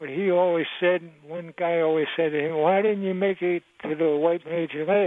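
A man with an American accent at a high pitch, moderate pace and monotone, flat intonation, with hardly any pauses. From Maryland. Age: 80s+. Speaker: caller. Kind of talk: casual chat. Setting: phone call. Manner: halting.

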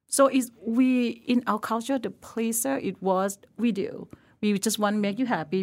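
A woman with a Thai accent talks at a moderate pace with ordinary pitch variation, in a very clean recording with a silent background. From northern Thailand, Lampang. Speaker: chef. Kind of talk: casual interview chat. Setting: podcast studio.

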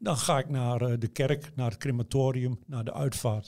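Speech comes at a fairly slow pace in a somewhat breathy voice. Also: man. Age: 60s. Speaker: newspaper journalist writing obituary stories. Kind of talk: interview. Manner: hesitant, many fillers.

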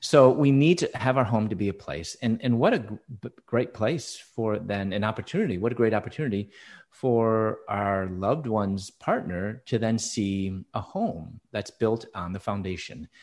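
With an American accent, a man in an ordinary speaking voice talks at a fairly low pitch and moderate pace, his intonation lively against a quiet background. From Chicago, US Midwest. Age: 50s. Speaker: author and speaker. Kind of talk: interview testimony.

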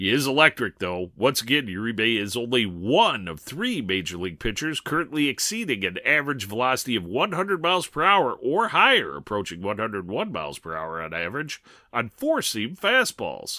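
Very wide pitch swings mark a man's bright, sharp voice at a fairly quick pace. The recording is very clean, with a silent background. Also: medium pitch for a man, hardly any pauses. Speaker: baseball analyst. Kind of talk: scripted player report.

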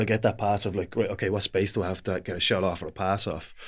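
A man with a Dublin accent, fairly low-pitched, talking very fast on a very clean recording with a silent background. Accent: Dublin Irish. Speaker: Gaelic football player and pundit. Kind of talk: casual chat.

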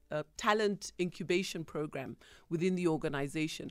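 A woman speaks at a moderate pace in a fairly low pitch, with fairly even intonation. The recording is very clean, with a silent background. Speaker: executive coach. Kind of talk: radio interview. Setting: radio studio. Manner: confident.

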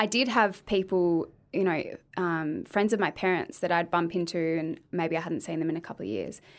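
In an Australian accent, a woman speaks at a moderate pace with a fairly low pitch and ordinary pitch variation, recorded very cleanly against a silent background. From Australia, Adelaide. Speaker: speech pathologist and former beauty pageant winner. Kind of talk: casual chat.

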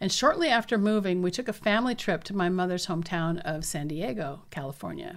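A woman with an American accent speaks at a fairly quick pace in a medium pitch, with lively intonation and a normal speaking voice. The recording is very clean, with a silent background. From US Pacific Northwest, southeastern Washington State. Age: 50s. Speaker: podcast host, doctor. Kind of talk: memoir narration.

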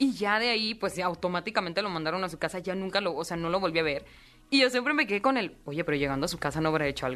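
A woman talks at a very fast pace in an animated tone. Her intonation is lively. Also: medium pitch for a woman. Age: 20s. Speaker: singer. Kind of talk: interview.

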